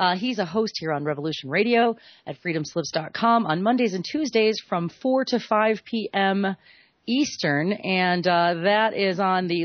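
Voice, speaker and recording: Speaking at medium pitch, a woman uses lively intonation. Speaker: radio host. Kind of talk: live radio interview with donation plugs. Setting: radio studio. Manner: casual, playful; fast.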